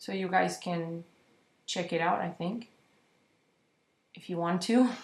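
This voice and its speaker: Here a woman speaks with a non-native accent. Her pitch is medium, with ordinary variation. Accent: foreign. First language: not English. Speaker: digital artist. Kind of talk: tutorial. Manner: halting, with fillers and repeats.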